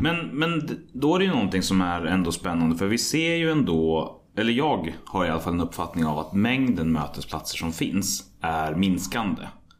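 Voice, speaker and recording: The voice makes very wide pitch swings against audible room echo. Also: man, very deep, low pitch for a man, moderate pace. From Sweden, Västmanland (Hallstahammar). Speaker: podcast host. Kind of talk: interview.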